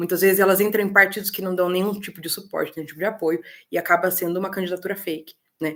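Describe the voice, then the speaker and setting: Speaking very fast in a flat, monotone delivery, a woman with a medium pitch shows big swings in loudness. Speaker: political mentor for women. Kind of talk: online webinar talk.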